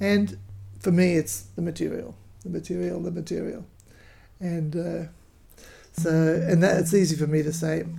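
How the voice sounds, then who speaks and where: A woman with an Australian accent speaks in a dark, mellow tone with fairly low pitch and vocal fry. Her intonation is lively, her pace moderate, and her pauses long and frequent. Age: 70s. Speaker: folk singer. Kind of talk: casual chat.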